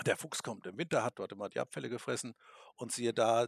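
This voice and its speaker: This man speaks at a medium pitch with vocal fry. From Lower Saxony, Germany. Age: 50s. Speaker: hunting expert and taxidermist. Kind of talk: podcast interview. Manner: halting, many filler sounds.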